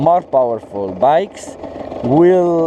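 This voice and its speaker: Noticeable background noise surrounds the recording. A man speaks at a very slow pace. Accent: non-native. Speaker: motorcycle vlogger. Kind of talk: tutorial. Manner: halting, many fillers.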